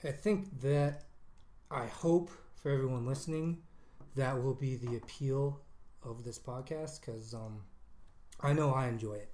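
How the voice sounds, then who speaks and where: A man with an American accent speaks at a fairly slow pace, leaving long, frequent pauses, his medium pitch showing ordinary variation. His tone is dark and mellow, somewhat breathy, with audible room echo. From Colorado. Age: 30s. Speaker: podcast co-host. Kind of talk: casual chat. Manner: hesitant, many fillers.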